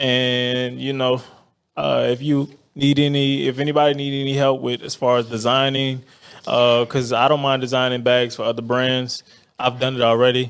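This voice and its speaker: A man talks at a moderate pace in a medium pitch. His intonation is monotone and flat. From New Orleans. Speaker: handbag designer. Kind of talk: casual interview.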